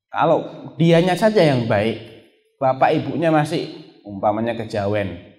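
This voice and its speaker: The speaker uses lively intonation at a moderate pace. Music plays in the background. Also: man. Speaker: Islamic preacher giving a lecture. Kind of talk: Islamic religious lecture (pengajian) reviewing a book.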